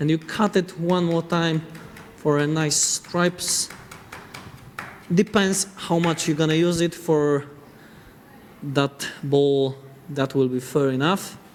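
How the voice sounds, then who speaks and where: Someone with a Polish accent speaks at a very slow pace, leaving long, frequent pauses, with fairly even intonation over noticeable background noise. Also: man. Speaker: chef. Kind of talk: cooking demonstration. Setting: studio. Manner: halting.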